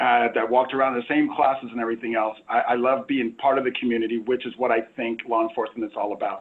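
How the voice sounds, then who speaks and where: A man with a Southern California accent talks at a very fast pace in a medium pitch, his delivery flat and monotone with hardly any pauses. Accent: General American, Southern California. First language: Spanish. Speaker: police chief. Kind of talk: panel discussion. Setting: video call.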